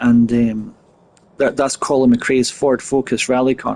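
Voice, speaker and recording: With a Scottish Highland accent, a man talks at a moderate pace. His pitch sits in the medium range. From Scotland. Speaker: gaming streamer. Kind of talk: live gameplay commentary. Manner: halting, with many fillers and repeats.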